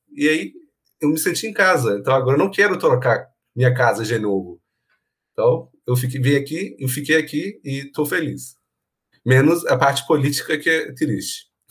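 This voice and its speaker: This man talks at a moderate pace with a fairly high pitch. His intonation is lively and his voice somewhat breathy. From Iran. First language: Persian (speaking Portuguese). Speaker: university professor. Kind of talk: casual chat.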